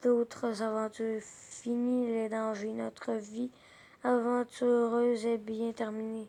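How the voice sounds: Reading comes across in a natural voice.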